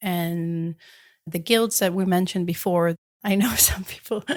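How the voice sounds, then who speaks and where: In a very clean recording with a silent background, a woman with an Israeli accent speaks at a medium pitch and a fairly slow pace. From Israel, Jerusalem. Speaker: metal artist. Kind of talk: interview.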